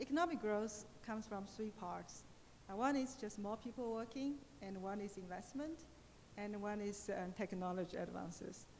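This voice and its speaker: The speaker moves at a moderate pace, with ordinary variation in pitch. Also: woman, medium pitch for a woman. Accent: Chinese. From China. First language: Chinese. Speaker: economist. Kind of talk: Q&A panel answers. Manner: halting, many fillers.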